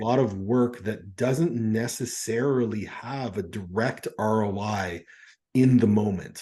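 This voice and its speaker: Against a quiet background, a man speaks in a medium pitch with a dark, mellow tone that is somewhat breathy. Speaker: podcast host, coach. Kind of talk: podcast interview questions.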